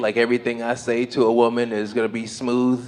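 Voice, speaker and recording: This is a man with an American accent. His pitch is medium. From Las Vegas, US. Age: 40s. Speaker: stand-up comedian. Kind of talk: stand-up. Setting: stage with audience.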